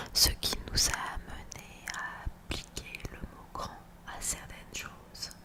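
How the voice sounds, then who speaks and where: Whispering in an intense tone, a woman speaks at a very slow pace over noticeable background noise. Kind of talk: ASMR story reading. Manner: intense whispers.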